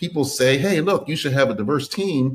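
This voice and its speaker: In an American accent, a man with an ordinary speaking voice talks at a moderate pace, his fairly high pitch showing ordinary pitch variation. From US Northeast, Philadelphia. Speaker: tech company founder and former CEO. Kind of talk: podcast interview.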